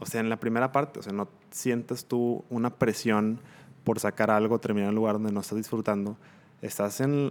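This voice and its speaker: Here a man with a medium pitch talks at a fairly quick pace, his intonation monotone and flat. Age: 20s. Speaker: industrial engineer. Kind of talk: casual chat.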